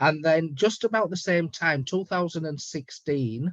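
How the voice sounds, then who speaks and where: A man speaks with a British accent at a fairly slow pace, with ordinary pitch variation. The sound is dry and close with no echo, over a quiet background. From UK. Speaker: head distiller. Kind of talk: virtual tasting talk.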